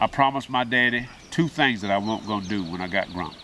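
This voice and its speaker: A man speaks fairly quickly at a medium pitch with lively intonation. There is noticeable background noise. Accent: Southern US. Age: 60s. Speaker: farmer. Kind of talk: interview.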